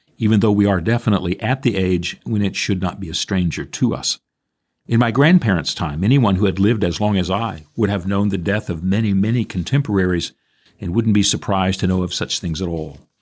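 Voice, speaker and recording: A man's fairly low voice in a very clean recording with a silent background. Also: ordinary pitch variation, fairly quick pace. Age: 60s. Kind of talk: radio reflection talk.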